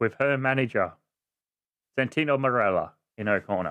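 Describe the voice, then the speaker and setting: A man's bright, sharp, medium-pitched voice with an Australian accent and ordinary pitch variation. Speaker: wrestling podcast host. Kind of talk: casual podcast talk.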